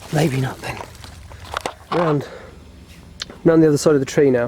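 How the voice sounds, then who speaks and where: A voice of ordinary pitch movement against noticeable background noise. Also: man. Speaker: vlogger. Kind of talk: casual vlog narration. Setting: outdoors. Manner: whispering at times.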